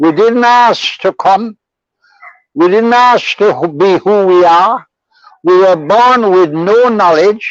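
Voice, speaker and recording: The speech moves at a very slow pace with ordinary pitch variation and very even loudness. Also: man, high pitch for a man. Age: 80s+. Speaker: lawyer. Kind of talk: interview answer.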